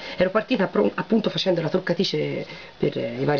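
Noticeable background noise sits behind the speech. A woman talks at a fairly quick pace. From Tuscany, Siena; Tuscany. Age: 20s. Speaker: beauty vlogger and beautician; beauty vlogger. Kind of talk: casual vlog chat. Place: home room. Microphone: webcam.

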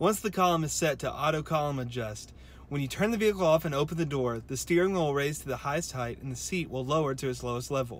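Over light background noise, a man speaks at a very fast pace, the sound dry with no echo. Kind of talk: tutorial. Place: car. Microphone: phone near.

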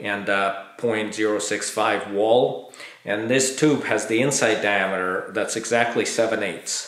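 In a room with audible echo, a man with a fairly low voice speaks fairly slowly and with fairly even intonation. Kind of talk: tutorial. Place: workshop.

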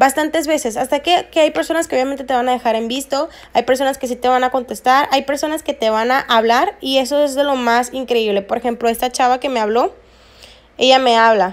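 A woman with a high pitch talks at a fairly quick pace with ordinary pitch variation in a very clean recording with a silent background. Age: 20s. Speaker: network marketing recruiter and investor. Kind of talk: screen-recorded tutorial.

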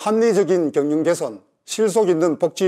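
Against a quiet background, a man speaks at a high pitch in a dark, mellow tone with ordinary pitch variation. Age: 60s. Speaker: election candidate. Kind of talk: campaign speech. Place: office.

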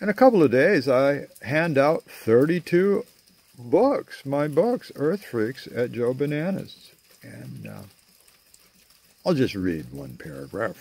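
At a very slow pace, a man speaks with big swings in loudness, the sound dry with no echo. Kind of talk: casual vlog chat. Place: garden. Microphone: phone near.

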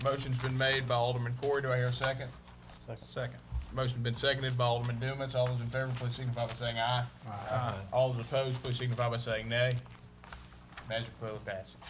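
Against noticeable background noise, a man with a Southern US accent talks very fast in a monotone, flat intonation, broken by long, frequent pauses. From US South. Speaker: mayor chairing city council meeting. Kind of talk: formal public meeting. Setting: council chamber. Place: meeting room. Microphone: podium.

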